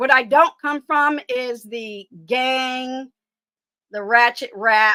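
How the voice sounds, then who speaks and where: With an American accent, a woman uses a raised, projected voice at a high pitch, bright and sharp in tone, with ordinary pitch variation. The recording is very clean with a silent background, and the sound is dry and close with no echo. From Detroit, US. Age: 60s. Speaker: online commentator and military veteran. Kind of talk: casual live-stream chat.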